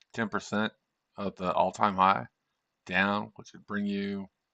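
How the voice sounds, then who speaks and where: Moderate-paced man with a fairly low, bright, sharp voice, monotone and flat in intonation, over a quiet background. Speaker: day trader streamer. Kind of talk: live trading stream commentary. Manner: casual, thinking aloud.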